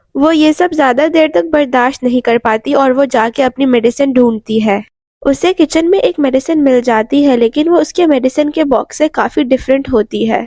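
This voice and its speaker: A woman's high voice with ordinary pitch variation. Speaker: movie recap narrator. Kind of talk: movie plot recap narration.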